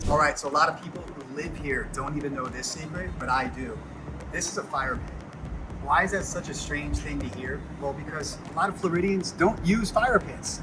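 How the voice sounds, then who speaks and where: A man's enthusiastic voice at a moderate pace, with audible room echo and noticeable background noise. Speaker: realtor. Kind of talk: property walkthrough tour. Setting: outdoors at pool deck. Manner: casual, enthusiastic.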